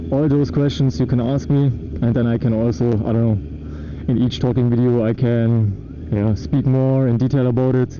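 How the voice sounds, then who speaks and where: A man with a German accent speaks at a medium pitch and a moderate pace, with ordinary pitch variation and very even loudness. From Germany. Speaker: motorcycle vlogger. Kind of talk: casual vlog monologue while riding. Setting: riding a motorcycle outdoors. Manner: halting, many fillers.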